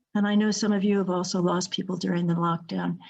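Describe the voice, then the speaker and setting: A somewhat breathy voice speaks with monotone, flat intonation against a quiet background. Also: woman. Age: 70s. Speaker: workshop presenter. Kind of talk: interactive online workshop talk.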